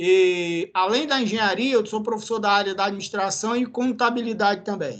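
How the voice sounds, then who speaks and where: A bright, sharp tone in a Ceará accent, with ordinary pitch variation. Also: man. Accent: Northeastern Brazilian (cearense). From Brazil, Ceará (Northeast). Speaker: university professor. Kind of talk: lecture. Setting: classroom.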